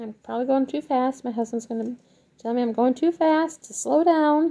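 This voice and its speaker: A woman with a high pitch and a dark, mellow tone speaks at a moderate pace. Her pitch variation is ordinary, while her loudness swings widely. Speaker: crafting tutorial maker. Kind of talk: tutorial.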